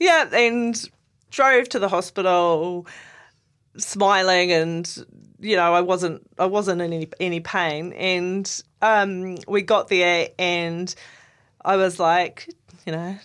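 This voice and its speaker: In a New Zealand accent, a woman speaks at a very slow pace and a medium pitch. The recording is very clean, with a silent background. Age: 40s. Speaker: podcast host sharing her cancer story. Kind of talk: personal testimony in casual chat.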